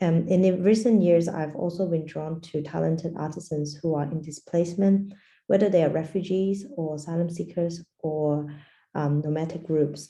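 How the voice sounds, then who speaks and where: Fairly even intonation from a woman with a fairly low pitch and a dark, mellow tone, plus audible room echo. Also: moderate pace. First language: Portuguese. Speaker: design anthropologist. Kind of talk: lecture. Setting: video call.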